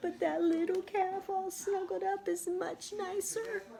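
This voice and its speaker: A squeaky, put-on character voice speaks at a fairly slow pace over clear background noise. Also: woman, extremely high pitch for a woman. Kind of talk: bedtime story. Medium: read story.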